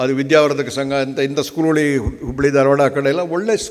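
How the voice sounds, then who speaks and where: Audible room echo and noticeable background noise are both present in the clip. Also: man. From Karnataka, Hassan district (Arkalgud). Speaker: hotel executive. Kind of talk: conference speech. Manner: halting.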